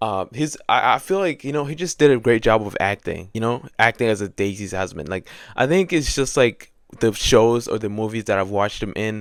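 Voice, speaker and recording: Speaking at a fairly quick pace, a man with a non-native accent uses a medium pitch and lively intonation on a very clean recording with a silent background. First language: not English. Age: 20s. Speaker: student and book vlogger. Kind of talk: casual chat. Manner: casual, filler-heavy.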